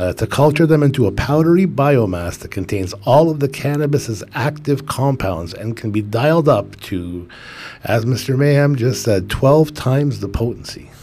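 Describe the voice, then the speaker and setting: A man speaks with lively intonation. Noticeable background noise runs underneath. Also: medium pitch for a man, moderate pace. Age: 40s. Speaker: cannabis podcast co-host. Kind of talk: casual chat. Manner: relaxed, many fillers.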